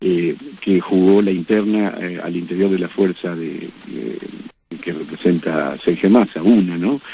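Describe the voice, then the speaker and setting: A man's very deep, low voice, dark and mellow in tone, at a fairly slow pace with ordinary pitch variation. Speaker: political analyst. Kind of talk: radio interview. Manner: halting.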